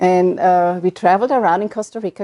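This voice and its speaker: Dark and mellow, a woman's medium-pitched voice races at a very fast pace, the sound dry and close with no echo. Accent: German. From Germany. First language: German. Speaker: retired midwife. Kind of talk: oral history interview. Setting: at home. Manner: halting.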